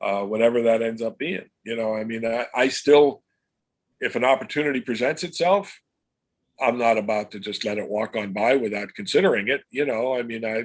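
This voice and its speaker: With an American accent, a man speaks at a medium pitch and a fairly quick pace, his pitch varying in an ordinary way. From Pennsylvania, US. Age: 60s. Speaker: comic book illustrator. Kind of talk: interview. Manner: halting, many fillers and repeats.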